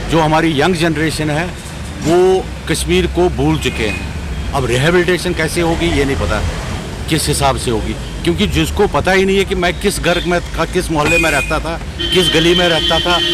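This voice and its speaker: A man speaks in a room with audible echo. Noticeable background noise is present. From Kashmir. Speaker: election volunteer. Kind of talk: street interview.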